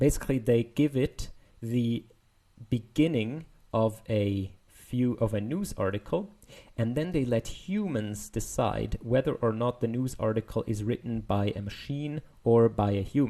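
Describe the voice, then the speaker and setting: A man with a non-native accent, medium pitch and a dark, mellow tone at a fairly slow pace. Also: ordinary pitch variation. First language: not English. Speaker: machine learning paper explainer. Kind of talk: technical explainer video. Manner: casual, hesitant with fillers.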